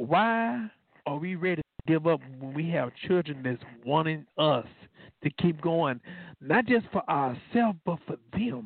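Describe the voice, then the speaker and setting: A man with an ordinary speaking voice talks at a fairly slow pace, his fairly high pitch carrying lively intonation. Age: 40s. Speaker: radio host and law enforcement officer. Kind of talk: faith-based call-in talk show. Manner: informal, conversational.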